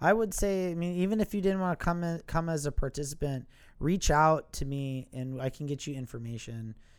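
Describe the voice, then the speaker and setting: On a very clean recording with a silent background, a man speaks at a fairly quick pace in a fairly high pitch with ordinary pitch variation. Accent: Wisconsin. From Milwaukee, Wisconsin. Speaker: factory worker and historical reenactor. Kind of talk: casual interview chat.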